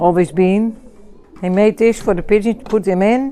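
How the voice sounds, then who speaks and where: A woman speaks at a fairly slow pace and a medium pitch. Noticeable background noise runs underneath. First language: Dutch. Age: 60s. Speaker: pigeon fancier. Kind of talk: casual chat. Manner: halting.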